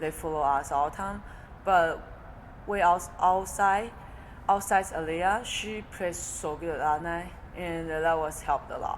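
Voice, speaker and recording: This woman speaks at a fairly slow pace in a fairly low pitch, with a Chinese accent and fairly even intonation. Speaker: college volleyball player. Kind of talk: interview. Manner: halting.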